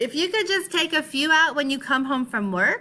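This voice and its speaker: The put-on character voice is squeaky and moves at a moderate pace. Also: woman, high pitch for a woman. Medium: read story. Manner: simple, chatty.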